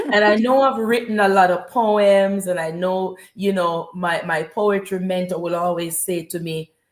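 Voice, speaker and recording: With a Jamaican accent, the speaker keeps a moderate pace and fairly even intonation, with hardly any pauses. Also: woman, medium pitch for a woman. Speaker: spoken word poet. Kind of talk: interview. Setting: live stream.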